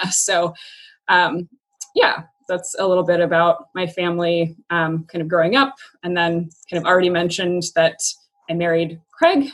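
With a West Coast accent, a woman speaks in a fairly low voice with fairly even intonation and long, frequent pauses. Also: moderate pace. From US Pacific Northwest (Yakima, Washington). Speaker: former teacher. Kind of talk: casual interview. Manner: halting, with many fillers.

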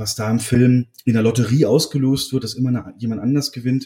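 A man's somewhat breathy, dark, mellow voice at medium pitch and a moderate pace. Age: 30s. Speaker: film podcaster. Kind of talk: casual chat; film plot summary.

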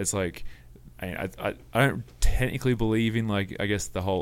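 Speaking at a moderate pace with an Australian accent, a man uses ordinary pitch variation. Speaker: worship pastor and mountain bike racer. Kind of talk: casual chat. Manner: hesitant, many fillers.

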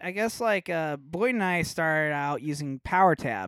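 A man with a fairly high voice speaks at a moderate pace in an ordinary speaking voice. The recording is very clean, with a silent background. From Nebraska, Omaha. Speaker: metal guitarist. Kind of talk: casual chat.

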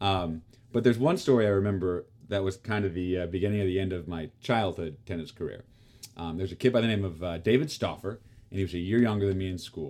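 On a very clean recording with a silent background, a man with an American accent talks at a very fast pace, his pitch very deep and low with ordinary variation. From Kansas, US. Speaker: actor and tennis player. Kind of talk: casual chat. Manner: halting, many fillers.

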